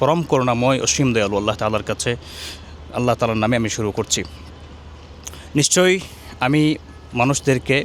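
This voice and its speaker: A man talks in an unremarkable speaking voice at a medium pitch. His pitch variation is ordinary. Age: 30s. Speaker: Tarawih prayer imam. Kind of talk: interview answer, verse translation.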